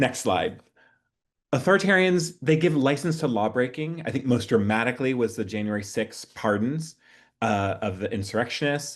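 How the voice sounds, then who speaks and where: This is a man with an ordinary speaking voice at a medium pitch. He speaks at a moderate pace with lively intonation, over a quiet background. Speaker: activist trainer. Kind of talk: presentation.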